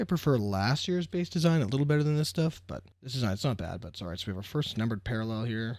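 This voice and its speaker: Soft-spoken, a man of medium pitch rushes along at a very fast pace with hardly any pauses and very wide pitch swings, on a very clean recording with a silent background. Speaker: sports card collector youtuber. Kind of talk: casual card-opening commentary. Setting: at home, kids sleeping. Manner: quiet, soft-spoken.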